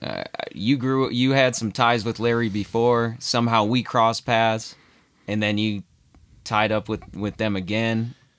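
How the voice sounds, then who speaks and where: A plain, everyday voice moves at a fairly slow pace with fairly even intonation in a very clean recording with a silent background. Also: man, medium pitch for a man. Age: 30s. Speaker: podcast guest. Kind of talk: casual chat.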